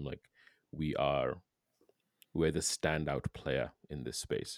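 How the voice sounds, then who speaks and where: This man's voice carries noticeable vocal fry. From Kenya. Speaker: podcast host. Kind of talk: podcast interview.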